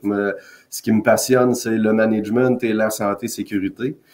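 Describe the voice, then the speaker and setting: At a moderate pace, a man talks in a medium pitch. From Quebec, Canada. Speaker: occupational safety consultant. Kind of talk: podcast interview. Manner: direct.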